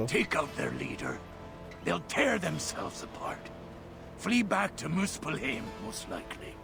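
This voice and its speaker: Loud music plays in the background. Over it, a man speaks in a put-on character voice. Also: moderate pace. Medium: game stream. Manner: blunt, plainspoken, dry.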